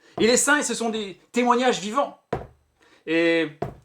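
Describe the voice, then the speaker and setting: This man's voice sits high and swings very widely in pitch. He speaks at a fairly slow pace. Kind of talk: interview host, friendly conversation.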